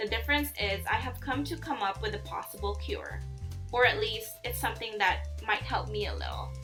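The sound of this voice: Faint music plays behind a woman with a fairly high pitch and a fairly bright tone. She speaks at a fairly quick pace with ordinary pitch variation.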